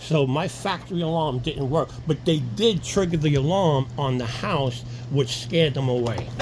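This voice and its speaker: A man with an American accent and a fairly high pitch speaks over noticeable background noise. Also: ordinary pitch variation, moderate pace. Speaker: alarm installer. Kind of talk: tutorial. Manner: halting, self-correcting; casual.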